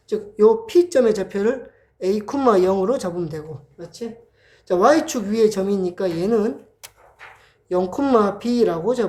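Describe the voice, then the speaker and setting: Her tone dark and mellow, a woman with a medium pitch speaks at a fairly slow pace with lively intonation. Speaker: math tutor. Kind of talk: lecture. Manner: casual.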